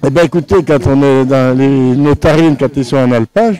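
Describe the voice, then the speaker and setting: Over noticeable background noise, a man talks at a moderate pace. His voice sits fairly high and shows ordinary pitch variation. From Savoie, France (Tarentaise). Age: 90s. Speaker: retired cheesemaker. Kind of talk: interview at a fair. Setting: outdoors at an agricultural fair. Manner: halting, repeats words.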